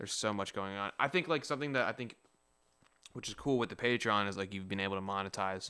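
Man's fairly low voice, bright and sharp in tone, very fast pace, ordinary pitch variation. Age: 20s. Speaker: rapper and music producer. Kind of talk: casual chat. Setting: video call. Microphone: studio dynamic microphone.

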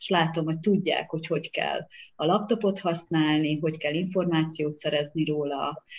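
A woman's low voice, slightly mellow in tone, with fairly even intonation.

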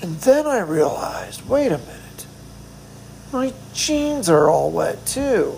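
The words come very slowly while background noise is noticeable. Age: 40s. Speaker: podcaster in hospice care. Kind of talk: personal monologue. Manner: halting.

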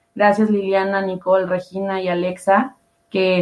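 Monotone, flat delivery at a fairly slow pace. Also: woman. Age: young. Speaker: panel moderator. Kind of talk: panel moderation.

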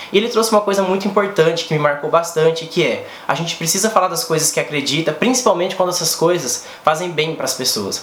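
A man speaks very fast at a high pitch, with ordinary pitch variation and hardly any pauses. Both room echo and background noise can be heard. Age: 30s. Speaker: cooperative educator, YouTuber. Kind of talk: vlog monologue.

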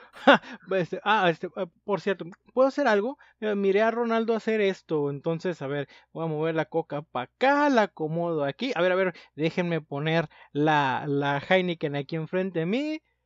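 A man's high-pitched voice in a Mexican accent, at a moderate pace with lively intonation. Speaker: podcast co-host. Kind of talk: casual chat.

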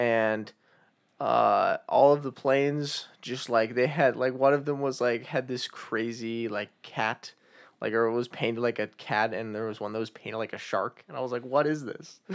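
This man has a plain, everyday voice with an American accent. He talks at a moderate pace, at medium pitch with fairly even intonation. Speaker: podcast co-host. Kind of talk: casual chat.

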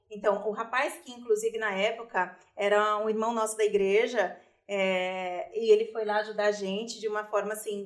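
In a plain, everyday voice, a woman talks at a fairly high pitch, her intonation fairly even. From Brazil, grew up in a favela. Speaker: cosmetics company director. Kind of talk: testimony.

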